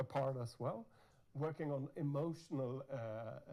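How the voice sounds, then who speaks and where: Speaking at a moderate pace, a man has a fairly high pitch, a dark, mellow tone and ordinary pitch variation. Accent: Norwegian. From Norway. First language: Norwegian. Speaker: university dean and researcher. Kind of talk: conference keynote talk. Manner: halting, many repetitions.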